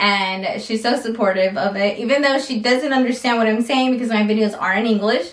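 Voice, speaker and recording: A woman speaks with a fairly high pitch at a fairly quick pace, ordinary pitch variation, very even loudness and hardly any pauses, over noticeable background noise. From US Midwest, Iowa. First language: Spanish. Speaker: lifestyle vlogger. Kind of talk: casual Q&A vlog. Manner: casual, many fillers.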